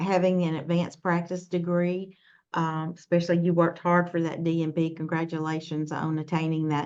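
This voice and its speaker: A fairly low-pitched woman with a Southern US accent and monotone, flat intonation. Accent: southern drawl. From US South, Mississippi. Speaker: nursing workforce leader. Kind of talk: webinar talk. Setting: online webinar. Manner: halting, many fillers.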